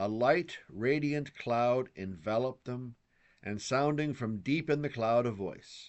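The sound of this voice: The reading voice is unforced. Pitch rises and falls in an ordinary way.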